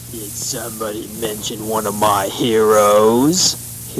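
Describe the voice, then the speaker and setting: Over clear background noise, a man in a put-on character voice talks at a fairly slow pace and a fairly low pitch. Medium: audio drama. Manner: boorish, laughing.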